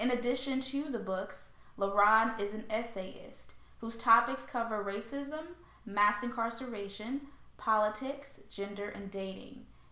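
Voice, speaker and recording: Over noticeable background noise and audible room echo, a woman with an American accent speaks fairly slowly at a fairly high pitch, with ordinary pitch variation. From St. Louis, Missouri. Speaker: podcast host. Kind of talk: scripted introduction; interview.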